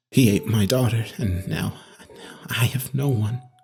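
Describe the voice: In a put-on character voice, a man speaks at a fairly slow pace and a fairly low pitch, with ordinary pitch variation and vocal fry. His tone is slightly mellow with a husky, rough edge, and faint music plays in the background.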